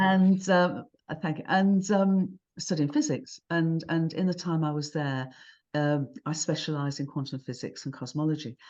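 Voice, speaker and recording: A woman with a British accent, a very deep, low pitch and a moderate pace, against a quiet background. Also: ordinary pitch variation. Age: 70s. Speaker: cosmologist and author. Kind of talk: interview conversation.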